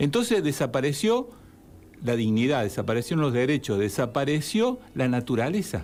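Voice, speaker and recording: A man speaks in a plain, everyday voice at a fairly high pitch, with lively intonation and a moderate pace. Loudness stays very even in a very clean recording with a silent background. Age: 60s. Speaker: therapist and civic group spokesman. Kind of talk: radio interview.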